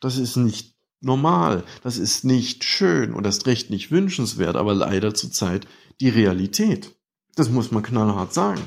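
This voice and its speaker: A man with an ordinary speaking voice, a fairly low pitch and ordinary pitch variation, at a fairly slow pace. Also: very clean recording, silent background. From eastern Saxony. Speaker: listener voicemail caller. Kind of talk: recorded listener message.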